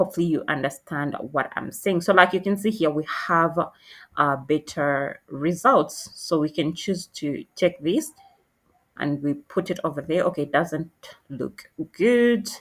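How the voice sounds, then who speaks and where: A woman speaks at a fairly slow pace with a non-native accent. Her pitch is fairly low and her intonation lively. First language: not English. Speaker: tutorial creator. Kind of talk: tutorial. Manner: halting, many fillers.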